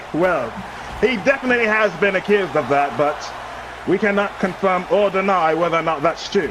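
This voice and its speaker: With a British accent and a high pitch, a man speaks at a fairly quick pace with ordinary pitch variation and very even loudness, over noticeable background noise. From Britain. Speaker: co-commentator. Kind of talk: mock live wrestling commentary.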